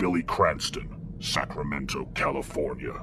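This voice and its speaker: A man's put-on character voice at a fairly slow pace, with clear background noise behind it. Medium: audio drama. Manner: flat, dutiful.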